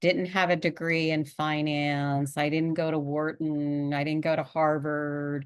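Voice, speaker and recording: Against a quiet background, a woman speaks with a Pennsylvania accent. Her pitch is very deep and low. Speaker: executive coach and podcast host. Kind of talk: podcast monologue. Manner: conversational.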